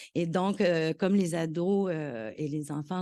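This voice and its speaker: The voice has a dark, mellow tone and ordinary pitch variation against a quiet background. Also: woman. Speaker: professor. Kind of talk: conference talk. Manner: hesitant, many fillers and repetitions.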